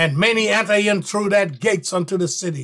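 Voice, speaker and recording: A man's raised, projected voice has a bright, sharp tone against a quiet background. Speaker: bible teacher. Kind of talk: sermon.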